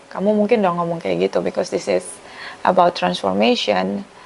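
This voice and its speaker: Background noise is noticeable throughout. A woman's voice comes through over it. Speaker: tarot reader. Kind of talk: tarot reading monologue. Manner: casual, chatty.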